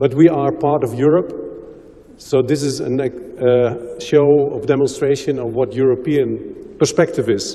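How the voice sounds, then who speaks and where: Over noticeable background noise, a man with a Dutch accent talks at a fairly high pitch with fairly even intonation. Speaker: health promotion expert. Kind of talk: conference presentation. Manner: slow.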